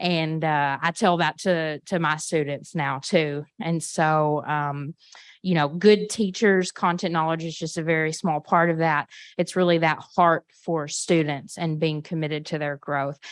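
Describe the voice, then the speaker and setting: The speaker has a Southern US accent and a fairly slow pace with fairly even intonation. The sound is dry and close with no echo, over a quiet background. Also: woman, very deep, low pitch for a woman. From Arkansas. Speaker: history professor. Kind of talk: panel discussion.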